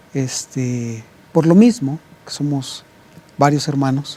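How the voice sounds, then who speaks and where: At a very slow pace, a man with fairly high pitch speaks with ordinary pitch variation. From Mexico, Puebla. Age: 50s. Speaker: pastor. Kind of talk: interview. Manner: halting, many fillers and repetitions.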